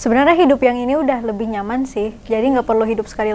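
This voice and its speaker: Over noticeable background noise, a woman talks at a very fast pace and high pitch in a Jakarta accent. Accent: Jakarta-style. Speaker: painter and artist. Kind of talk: casual interview chat.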